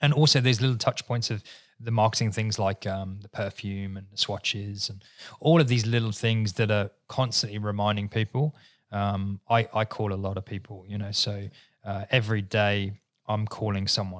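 A man with an English accent, fairly low in pitch, at a moderate pace with fairly even intonation, on a very clean recording with a silent background and a dry, close sound with no echo. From England. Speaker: business owner. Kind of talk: casual chat.

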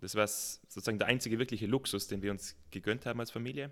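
An ordinary speaking voice from a man at medium pitch, fairly quick, with ordinary pitch variation, in a very clean recording with a silent background. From South Tyrol. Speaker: mountaineer and mountain farmer. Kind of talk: casual interview.

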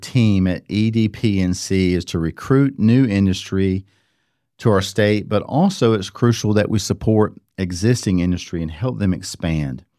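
A man with an American accent, a dark, mellow tone and ordinary pitch variation, on a very clean recording with a silent background. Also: fairly low pitch for a man, moderate pace. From North Carolina. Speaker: podcast host, commercial real estate broker. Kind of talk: interview.

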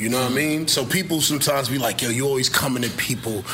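Over noticeable background noise, a man with an American accent speaks at a very fast pace and medium pitch. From Brooklyn, New York. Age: 30s. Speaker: rapper. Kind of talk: casual chat. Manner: animated.

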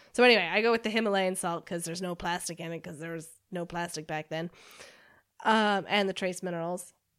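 On a very clean recording with a silent background, a woman with an American accent talks in a normal speaking voice at a fairly low pitch, with big swings in loudness. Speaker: paddleboard tour operator and adventurer. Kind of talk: casual interview.

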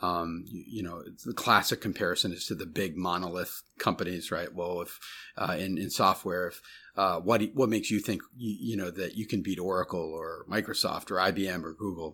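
A bright, sharp voice with an American accent moves at a fairly quick pace with fairly even intonation. The recording is very clean, with a silent background. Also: man, very deep, low pitch for a man. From US Midwest, Chicago suburbs. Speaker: tech startup CEO and angel investor. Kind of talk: interview. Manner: halting, many fillers.

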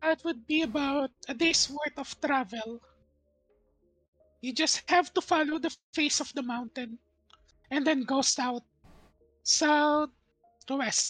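A man puts on a character voice, speaking at a fairly slow pace with long, frequent pauses. Faint music plays in the background. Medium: actual play. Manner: calm, matter-of-fact.

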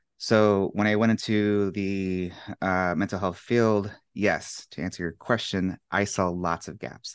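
A man with an American accent speaks in a plain, everyday voice at a fairly low pitch, his intonation fairly even against a quiet background. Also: fairly slow pace. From United States. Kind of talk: casual interview chat.

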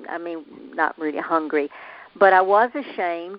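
Speaking at a moderate pace in a Southern US accent, a woman shows ordinary pitch variation. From US South. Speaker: motivational speaker. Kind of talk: interview. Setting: phone call.

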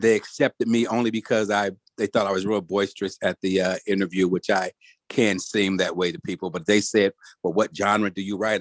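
With an American accent and a normal speaking voice, a man talks at a fairly quick pace and a fairly low pitch. His intonation is fairly even, and the sound is dry and close with no echo. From Detroit, Michigan. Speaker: screenwriter and producer. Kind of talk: casual chat.

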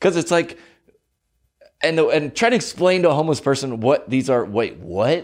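Against a quiet background, a man with a fairly high, animated voice and vocal fry swings his pitch very widely, keeps his loudness very even and leaves long, frequent pauses. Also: moderate pace. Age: 30s. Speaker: podcast host and comedian. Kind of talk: casual chat. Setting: studio.

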